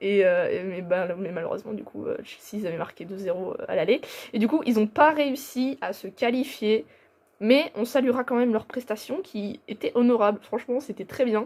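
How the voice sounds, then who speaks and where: A woman's fairly high-pitched voice with lively intonation and big swings in loudness. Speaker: football YouTuber. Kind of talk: casual football commentary vlog. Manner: fast; hesitant, many fillers.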